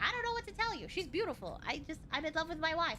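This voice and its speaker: Very fast and extremely high-pitched, a woman's raised, projected voice carries. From Australia. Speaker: streamer. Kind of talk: casual chat. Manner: animated.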